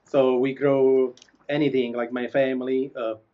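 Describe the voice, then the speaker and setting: A man speaks with a strong Italian accent at a fairly slow pace. His intonation is monotone and flat. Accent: strong Italian accent, sounds Neapolitan. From Italy, Molise near Campania. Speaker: pizza chef. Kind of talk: interview. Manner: halting.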